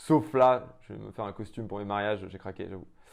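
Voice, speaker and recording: A man at a fairly quick pace. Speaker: entrepreneur. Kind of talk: interview. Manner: loud; fast.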